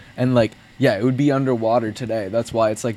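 Ordinary pitch variation is heard against noticeable background noise. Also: man. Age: 20s. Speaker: podcast tech guy. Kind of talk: casual chat.

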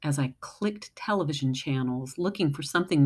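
On a very clean recording with a silent background, a woman with a very deep, low pitch speaks in a warm tone with ordinary pitch variation. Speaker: poet. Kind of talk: poem reading. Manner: warm, sincere.

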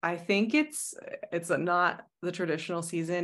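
Against a quiet background, a woman with an unremarkable speaking voice talks at a fairly low pitch with fairly even intonation. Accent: American. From Arizona, US. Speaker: astrologer and tarot reader. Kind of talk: casual interview conversation.

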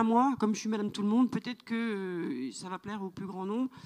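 A woman talks with a fairly high pitch. Her pace is moderate and her pitch variation ordinary. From France, rural farming background. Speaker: novelist. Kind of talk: literary panel discussion. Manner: halting, repetitive.

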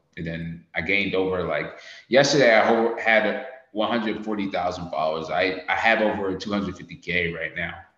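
Amid audible room echo, a man talks at a fairly slow pace with a fairly low pitch. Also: ordinary pitch variation. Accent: American. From United States. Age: 20s. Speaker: Navy sailor and social media creator. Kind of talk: casual chat.

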